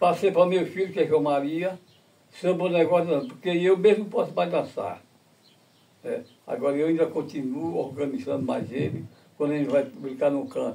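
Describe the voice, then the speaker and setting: At a moderate pace, a man speaks with a high pitch and a dark, mellow tone. His intonation is lively, broken by long, frequent pauses. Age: 80s+. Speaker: folk dance master. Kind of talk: interview.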